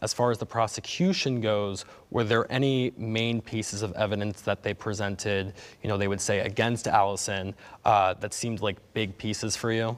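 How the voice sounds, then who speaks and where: With a plain, everyday voice, a man speaks at a moderate pace and fairly low pitch with fairly even intonation, on a very clean recording with a silent background. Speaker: TV news reporter. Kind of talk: TV news report.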